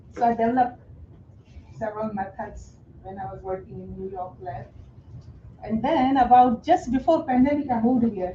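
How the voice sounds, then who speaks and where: A woman speaks at a moderate pace with lively intonation and long, frequent pauses. There is noticeable background noise. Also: fairly high pitch for a woman, big swings in loudness. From India. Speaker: new real estate agent, retired scientist. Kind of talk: casual self-introduction.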